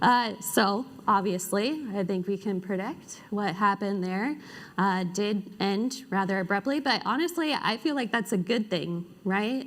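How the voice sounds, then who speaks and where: Speaking at a fairly slow pace, a woman uses a normal speaking voice at a medium pitch with ordinary pitch variation. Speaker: conference speaker. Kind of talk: conference talk. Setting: stage with audience.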